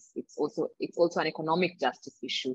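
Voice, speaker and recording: A woman with a Kenyan accent speaks at a fairly quick pace in a fairly low pitch. The sound is dry and close, with no echo. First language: not English; English is her third language. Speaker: reproductive justice advocate. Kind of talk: panel discussion.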